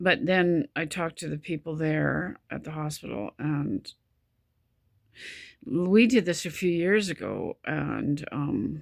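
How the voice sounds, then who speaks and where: A woman with a very deep, low pitch and vocal fry speaks at a very slow pace with lively intonation. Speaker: vlogger with chronic illness. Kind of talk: personal video diary. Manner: halting, stop-start speech; pauses for breath mid-sentence.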